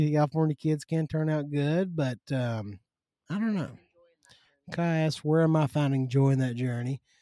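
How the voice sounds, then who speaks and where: With a Kentucky accent, a man talks at a moderate pace in a fairly high pitch with ordinary pitch variation. His tone is dark and mellow, and the sound is dry and close with no echo. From Western Kentucky. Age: 30s. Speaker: agriculture lobbyist. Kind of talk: casual chat. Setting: outdoors in the yard.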